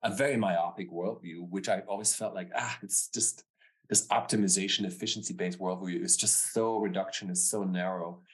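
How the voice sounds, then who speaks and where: With a German accent, a man speaks at a fairly low pitch and a fairly quick pace, his intonation fairly even. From Germany, Stuttgart. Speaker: business founder and author. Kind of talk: interview. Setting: remote call.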